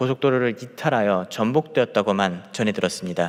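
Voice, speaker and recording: A man talks at a moderate pace. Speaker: junior pastor. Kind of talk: sermon. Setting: church, early morning prayer service. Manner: halting, with self-corrections and repeated words.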